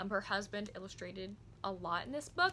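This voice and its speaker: Over light background noise, the voice moves at a fairly quick pace with a bright, sharp tone. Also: woman. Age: 20s. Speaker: book vlogger. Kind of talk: book review vlog. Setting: home recording, construction noise nearby. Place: home room. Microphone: phone near.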